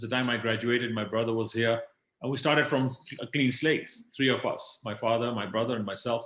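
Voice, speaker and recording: Speaking at a very fast pace with long, frequent pauses, a man uses a medium pitch and fairly even intonation. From Kenya. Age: 60s. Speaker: business leader. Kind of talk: interview.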